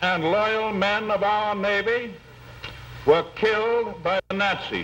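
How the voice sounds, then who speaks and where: Noticeable background noise sits behind a man with an American accent. His pitch is high, and his intonation stays fairly even. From United States. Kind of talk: wartime political speech.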